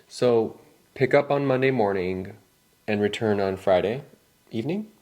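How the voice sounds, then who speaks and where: Using a normal speaking voice, a man with an American accent talks at medium pitch and a moderate pace. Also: ordinary pitch variation. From California. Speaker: English teacher. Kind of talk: scripted dialogue for learners. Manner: casual.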